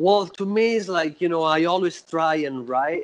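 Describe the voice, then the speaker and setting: Speaking fairly slowly, a man with an Italian accent uses a fairly high voice. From Italy, Florence. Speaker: death metal musician. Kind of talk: interview.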